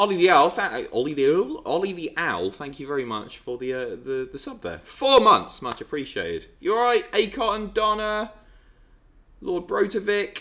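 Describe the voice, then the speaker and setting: A man with a British accent talks at a moderate pace, his loudness swinging widely. The recording is very clean, with a silent background. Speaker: livestreamer. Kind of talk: casual chat.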